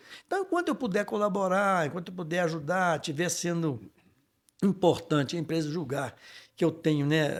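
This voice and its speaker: A man's high voice on a very clean recording with a silent background. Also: ordinary pitch variation, moderate pace. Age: 60s. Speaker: business executive. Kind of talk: podcast interview.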